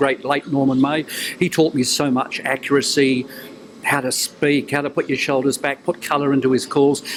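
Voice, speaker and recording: A man's fairly quick, fairly high-pitched voice, monotone and flat in intonation, over noticeable background noise. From New Zealand. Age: 70s. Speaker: retired broadcaster and newsreader. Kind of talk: interview. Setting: TV interview.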